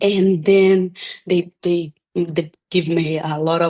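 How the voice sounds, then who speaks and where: Very slowly and in a monotone, flat intonation, a woman with a fairly low pitch speaks with a Portuguese accent. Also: dry, close sound with no echo. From Brazil. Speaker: chiropractor. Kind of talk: interview. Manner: halting.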